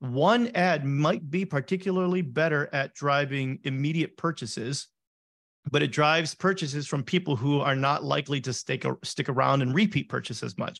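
He has an unremarkable speaking voice, pitched fairly high. This man's pace is moderate and his pitch variation ordinary. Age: 30s. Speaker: e-commerce ad agency founder. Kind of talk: interview.

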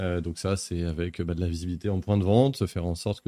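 A man with a very deep, low pitch and a dark, mellow tone speaks at a fairly quick pace. The recording is very clean with a silent background. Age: 40s. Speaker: publishing marketing director. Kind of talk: live-streamed interview.

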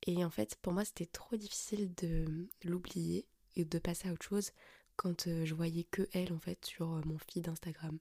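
This woman sounds somewhat breathy. Her intonation stays fairly even. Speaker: podcast host. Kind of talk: personal monologue. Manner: hesitant, many fillers.

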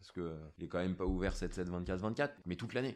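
Here a man with a very deep, low pitch talks at a fairly quick pace with ordinary pitch variation. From France, northern Ardèche. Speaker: village mayor. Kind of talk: podcast interview.

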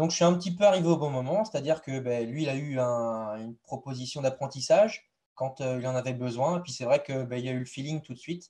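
With a dark, mellow and somewhat breathy tone, a man speaks at a fairly quick pace. His loudness swings widely, while his pitch varies in an ordinary way. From western France, Deux-Sèvres. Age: 20s. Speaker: apprentice livestock farmer. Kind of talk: interview. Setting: live stream.

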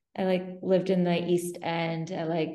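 A woman speaks with a fairly low pitch. Her tone is dark and mellow. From UAE. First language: French. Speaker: photographer and online magazine founder. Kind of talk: casual interview chat. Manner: many fillers, hesitant phrasing.

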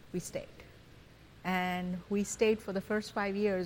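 The speaker has a Gujarati accent and a monotone, flat intonation. The pace is moderate. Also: woman. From Tanzania, Kenya, then India. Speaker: guest, mother. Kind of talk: casual interview conversation.

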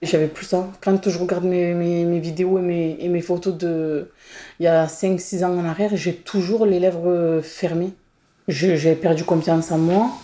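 The voice has a dark, mellow tone and moves at a fairly slow pace. Intonation is monotone and flat, in a very clean recording with a silent background. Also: woman, fairly low pitch for a woman. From northern Marseille, France. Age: 30s. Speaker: beautician, victim. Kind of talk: testimony. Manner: halting.

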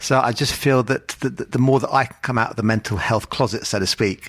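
Talking at a very fast pace, a man keeps his pitch variation ordinary. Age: 50s. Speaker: author. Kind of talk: interview. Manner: halting.

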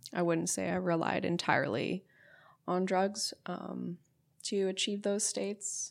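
A woman speaks with a western Canadian accent. The recording is very clean, with a silent background. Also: fairly slow pace. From Alberta, Canada (St. Albert, near Edmonton). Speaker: plant medicine explorer, leisure studies graduate. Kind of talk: casual interview conversation. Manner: calm.

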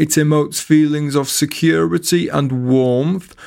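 A man talks in a normal speaking voice at a fairly high pitch and fairly slow pace. The recording is very clean, with a silent background. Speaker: comedian and writer performing a scripted piece. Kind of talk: dramatic narration, surreal first-person storytelling, played as an auctioneer.

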